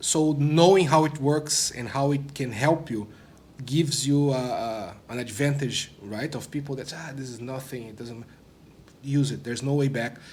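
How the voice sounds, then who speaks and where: Somewhat breathy with a non-native accent, a man speaks at a fairly high pitch with ordinary pitch variation amid audible room echo. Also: moderate pace. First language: not English. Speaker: product manager, former developer relations. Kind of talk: interview. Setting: conference studio.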